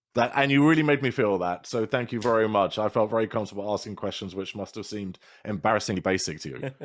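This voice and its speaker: In a very clean recording with a silent background, a man with a British accent speaks very fast at a fairly low pitch, with ordinary pitch variation and hardly any pauses. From Britain. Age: 40s. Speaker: podcast guest, podcaster. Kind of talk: casual interview chat.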